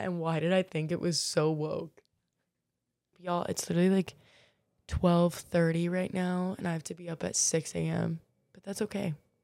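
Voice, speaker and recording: In an American accent, a woman speaks at a moderate pace with a dark, mellow tone and fairly low pitch. Her intonation is monotone and flat, and the recording is very clean with a silent background. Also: long, frequent pauses. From US South, Florida (Marco Island). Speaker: podcast host. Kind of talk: casual monologue. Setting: in bed.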